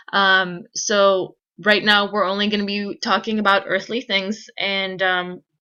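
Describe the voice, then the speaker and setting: A woman speaks loudly in a bright, sharp tone. Her intonation is monotone and flat, and the background is quiet. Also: medium pitch for a woman. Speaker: physics teacher. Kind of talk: recorded lecture. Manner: fast.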